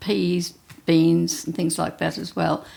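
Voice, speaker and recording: A woman's fairly low voice with vocal fry. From Australia, Gippsland, Victoria. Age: 80s+. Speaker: retired nurse and hospital visitor. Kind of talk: interview, life story. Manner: halting, with fillers.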